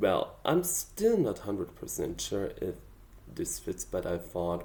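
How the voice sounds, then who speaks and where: The speaker talks at a very slow pace with a German accent. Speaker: amateur songwriter. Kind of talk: casual vlog explanation. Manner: hesitant, with fillers.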